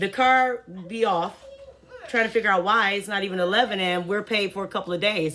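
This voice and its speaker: A woman speaks at a fairly quick pace in an animated tone, her pitch medium with ordinary variation. Noticeable background noise sits behind her. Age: 40s. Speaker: vlogger. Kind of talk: casual rant to camera.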